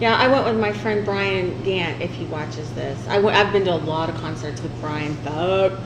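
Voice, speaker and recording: A woman's very deep, low voice with a strong Southern US accent, very wide pitch swings, a moderate pace and hardly any pauses, plus audible room echo and noticeable background noise. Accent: thick southern twang. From southern Illinois. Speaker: podcast host. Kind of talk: casual chat.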